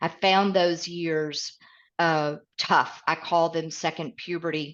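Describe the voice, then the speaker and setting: A woman with a Southern US accent and a fairly low voice speaks very slowly in a flat monotone. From East Tennessee, Midwest roots. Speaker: author and leadership coach. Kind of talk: podcast interview.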